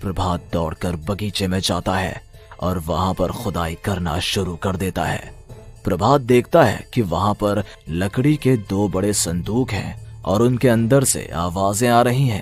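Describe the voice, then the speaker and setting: Using a cartoonish character voice at a fairly low pitch, a man speaks at a moderate pace while clear music plays in the background. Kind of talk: horror narration.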